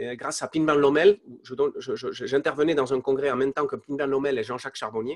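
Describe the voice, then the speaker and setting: A man's very fast, fairly even delivery at a fairly high pitch, in a dry, close sound with no echo. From Spain. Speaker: entrepreneur. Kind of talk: interview testimony. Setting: live online interview. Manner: halting, many fillers and repetitions.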